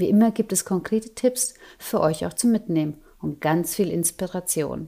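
Here a woman speaks in a medium pitch with a dark, mellow tone and ordinary pitch variation. The recording is very clean, with a silent background. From Germany, Nuremberg. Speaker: podcast host. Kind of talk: scripted intro; interview.

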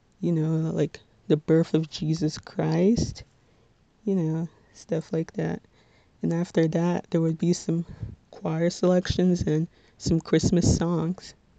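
In a dry, close sound with no echo, a soft-spoken woman with an American accent and a fairly low pitch talks at a very slow pace in a dark, mellow tone, with monotone, flat intonation and long, frequent pauses. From New Jersey, Bergen County. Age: 20s. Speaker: student podcaster. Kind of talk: casual monologue.

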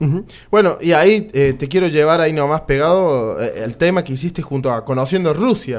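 At a moderate pace, a man uses a normal speaking voice pitched fairly high. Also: lively intonation. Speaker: radio host. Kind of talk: radio interview.

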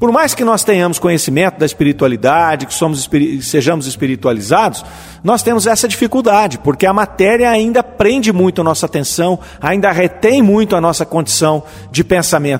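A man with a high voice talks at a fairly quick pace, his pitch swinging very widely, over noticeable background noise. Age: 50s. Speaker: spiritist radio program host. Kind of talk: lecture-style commentary on spiritist texts. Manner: halting, with fillers.

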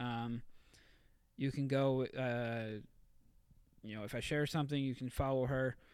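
The speaker has a normal speaking voice and a moderate pace. The recording is very clean, with a silent background. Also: man. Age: 30s. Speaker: fitness coach. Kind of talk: casual chat.

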